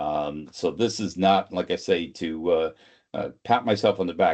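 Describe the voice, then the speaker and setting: The speaker has a Boston accent, against a quiet background. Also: man. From greater Boston area. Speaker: sales consultant and trainer. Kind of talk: webinar presentation. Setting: online webinar.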